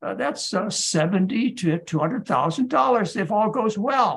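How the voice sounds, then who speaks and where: Lively intonation marks this man's speech. His pitch is high. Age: 70s. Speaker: physician. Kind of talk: lecture. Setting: video call.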